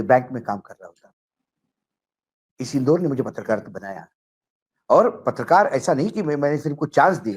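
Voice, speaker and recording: A man at a moderate pace, lively intonation, big swings in loudness and long, frequent pauses. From Maharashtra, India. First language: Marathi (speaking Hindi). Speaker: political journalist. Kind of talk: political talk show discussion.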